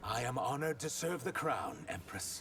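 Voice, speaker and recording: A man does a put-on character voice at a fairly high pitch and a moderate pace, with clear background noise behind him. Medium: video game. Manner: respectful, earnest.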